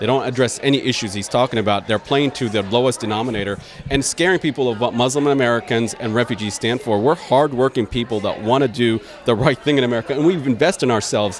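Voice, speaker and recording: Over noticeable background noise, a man talks at a very fast pace with a medium-pitched voice. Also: ordinary pitch variation. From Iraq, raised in Dayton, Ohio from age ten. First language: Arabic. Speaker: political candidate and attorney. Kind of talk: interview. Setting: event venue.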